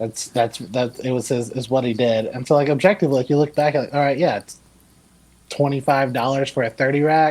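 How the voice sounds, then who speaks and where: Using a normal speaking voice, a man with an American accent talks at a fairly quick pace with medium pitch and fairly even intonation. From US South, Georgia. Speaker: brewery worker. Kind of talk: casual chat.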